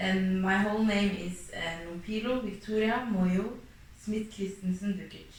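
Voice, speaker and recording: In a room with audible echo and noticeable background noise, a woman of medium pitch speaks at a fairly slow pace in a monotone, flat intonation. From Norway. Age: 20s. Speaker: interviewee. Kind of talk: interview. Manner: hesitant.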